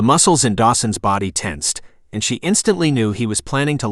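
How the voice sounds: Here a natural reading voice moves with lively intonation.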